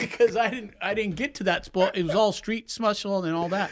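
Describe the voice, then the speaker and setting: With an American accent, a man speaks high-pitched and animated at a fairly quick pace, his pitch varying in an ordinary way. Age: 60s. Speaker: business consultant. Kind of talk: podcast interview.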